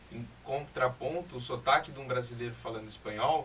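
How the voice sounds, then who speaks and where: Noticeable background noise sits under a man's medium-pitched voice. He talks fairly quickly with ordinary pitch variation. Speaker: guest's boyfriend. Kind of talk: casual chat.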